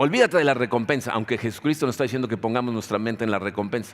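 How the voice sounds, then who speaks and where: The man's voice sits at a medium pitch. Its pitch variation is ordinary. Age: 60s. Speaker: pastor. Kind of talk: sermon.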